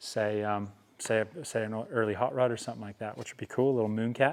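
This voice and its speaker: Talking at a fairly quick pace, a man with an Australian accent uses a fairly low pitch. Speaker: metal fabricator. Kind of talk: workshop tutorial. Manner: stuttering, halting.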